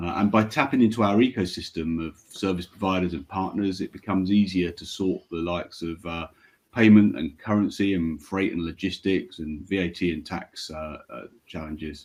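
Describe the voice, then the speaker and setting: This man has a very deep, low pitch and a British accent. He talks at a moderate pace with ordinary pitch variation and big swings in loudness. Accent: British, noted by speaker. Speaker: payments company regional manager. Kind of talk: webinar panel presentation.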